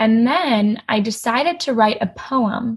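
Somewhat breathy and fairly high, a woman's voice moves with ordinary pitch variation. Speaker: college student and eating disorder survivor. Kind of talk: personal testimony in interview.

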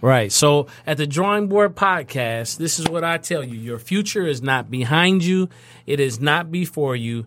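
A man with an American accent talks at a moderate pace and a fairly high pitch. His tone is animated, with lively intonation. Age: 30s. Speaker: podcast host. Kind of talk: interview.

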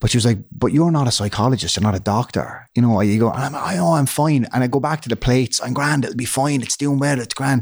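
With a Waterford Irish accent, a man at medium pitch talks at a very fast pace with hardly any pauses and ordinary pitch variation, on a very clean recording with a silent background. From Ireland, Waterford. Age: 30s. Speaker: comedian and actor. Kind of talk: interview, personal testimony. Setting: studio.

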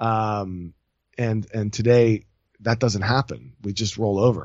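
At a medium pitch, a man talks with an American accent. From France and US. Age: 30s. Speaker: entrepreneur. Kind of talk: casual interview.

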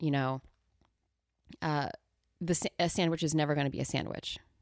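On a very clean recording with a silent background and a dry, close sound with no echo, a woman talks at a moderate pace. Her very deep, low voice carries vocal fry and fairly even intonation. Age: 40s. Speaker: improv teacher and coach. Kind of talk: interview conversation. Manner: laughs often.

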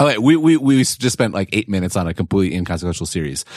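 With an American accent, a man's pitch swings very widely. The sound is dry and close with no echo, in a very clean recording with a silent background. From Wisconsin, US Midwest. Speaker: tech writer and podcast host. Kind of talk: casual chat. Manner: halting, many repeated words.

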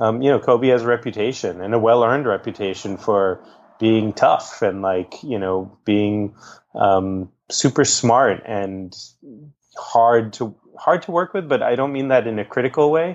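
At a fairly slow pace, a man with an American accent talks in a plain, everyday voice, medium in pitch with ordinary variation. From Boston, Massachusetts. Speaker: documentary director. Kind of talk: interview conversation. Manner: casual with many fillers.

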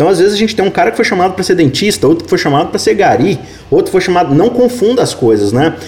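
Amid noticeable background noise, a man speaks at a very fast pace in a high pitch with lively intonation. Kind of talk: Bible study discussion.

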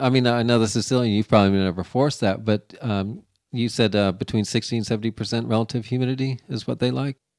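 On a very clean recording with a silent background, a man with a plain, everyday voice at medium pitch talks at a fairly quick pace with hardly any pauses. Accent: American. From Florida. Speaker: podcast host. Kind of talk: interview.

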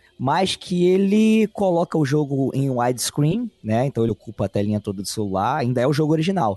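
Speaking fairly quickly with hardly any pauses, a man with a dark, mellow tone and a fairly high pitch makes very wide pitch swings at very even loudness, in a dry, close sound with no echo. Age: 30s. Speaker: podcaster guest. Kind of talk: casual chat.

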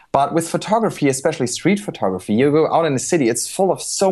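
Talking at a very fast pace, a man speaks with a German accent. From Germany. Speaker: street photographer. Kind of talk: interview. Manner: animated.

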